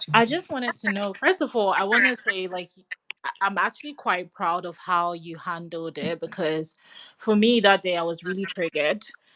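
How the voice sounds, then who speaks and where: Delivered at a moderate pace, the voice has lively intonation and a bright, sharp tone in a dry, close sound with no echo. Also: woman, medium pitch for a woman. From Ghana and UK. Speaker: caller. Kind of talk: casual chat. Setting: online audio space.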